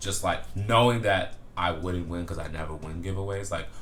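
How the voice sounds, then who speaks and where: Audible room echo surrounds a man who talks at a fairly quick pace with lively intonation. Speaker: men's fashion YouTuber. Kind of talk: casual vlog. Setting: indoors at home, window open. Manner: relaxed, many fillers.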